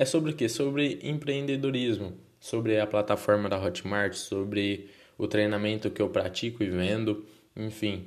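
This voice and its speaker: Speaking with a Brazilian accent, a man talks at a moderate pace in a fairly low voice whose pitch varies in an ordinary way. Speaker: podcaster. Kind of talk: casual monologue. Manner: halting.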